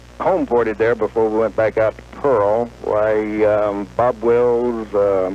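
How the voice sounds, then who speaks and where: Over noticeable background noise, a man speaks at a medium pitch and a fairly slow pace with fairly even intonation. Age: 60s. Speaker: caller, navy veteran. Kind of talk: phone-in call to talk radio. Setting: phone call.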